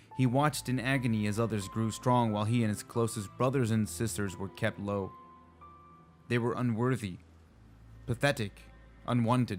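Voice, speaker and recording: Over music in the background, a man of medium pitch talks at a moderate pace with fairly even intonation and long, frequent pauses. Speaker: hobby lore narrator. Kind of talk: video game lore audiobook reading.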